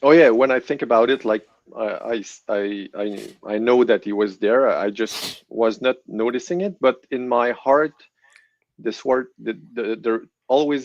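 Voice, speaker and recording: With ordinary pitch variation, a man delivers his words fairly slowly. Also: medium pitch for a man. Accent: French Canadian. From Quebec City, Canada. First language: French. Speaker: guest sharing testimony. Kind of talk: testimony. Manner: halting.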